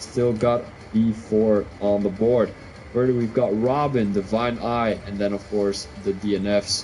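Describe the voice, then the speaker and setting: Someone with a Belgian accent speaks at a fairly slow pace. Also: man. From Belgium (Flemish). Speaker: sim racing league commentator. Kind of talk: live commentary. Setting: live stream.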